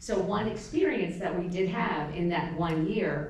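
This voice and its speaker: A woman with a fairly low pitch and ordinary pitch variation is heard with audible room echo and noticeable background noise. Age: 60s. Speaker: panelist sharing personal experience. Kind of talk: panel talk to audience. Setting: stage with audience. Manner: loud; conversational. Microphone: microphone problems.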